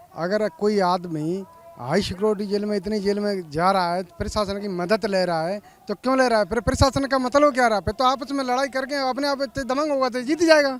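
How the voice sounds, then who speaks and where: A man speaks in a high voice with lively intonation at a moderate pace. He hardly pauses, and there is noticeable background noise. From Dholpur, Rajasthan. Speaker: protester. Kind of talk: street interview.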